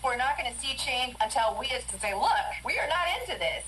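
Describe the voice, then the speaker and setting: Over noticeable background noise, a woman talks at a very fast pace in a high pitch, her voice making very wide pitch swings. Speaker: radio news anchor. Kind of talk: radio newscast read.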